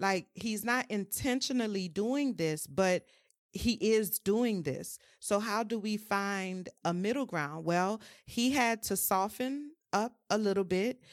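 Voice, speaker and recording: A woman with a New Orleans accent speaks very slowly at a medium pitch. The recording is very clean with a silent background, and her pitch varies in an ordinary way. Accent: New Orleans Southern US. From US South, New Orleans. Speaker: mental health and wellness creative. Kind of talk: casual chat.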